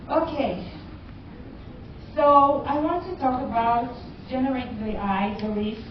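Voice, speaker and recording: A woman speaks at a fairly slow pace with a high pitch and ordinary pitch variation, pausing long and often, amid noticeable background noise and audible room echo. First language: not English. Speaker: cybersecurity educator. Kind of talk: conference talk. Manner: halting.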